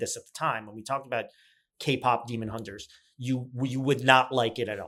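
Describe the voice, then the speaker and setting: Speaking at a fairly quick pace, a man has medium pitch and an ordinary speaking voice. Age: 50s. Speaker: podcast co-host. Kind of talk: casual chat.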